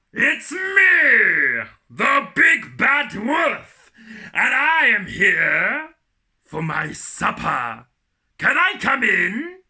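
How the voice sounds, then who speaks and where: Speaking very slowly, a man delivers his words. He is using a put-on character voice. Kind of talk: children's storytime acting. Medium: read story. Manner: sly, theatrical menace.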